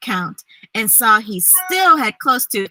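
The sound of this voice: Quiet background behind an unforced reading voice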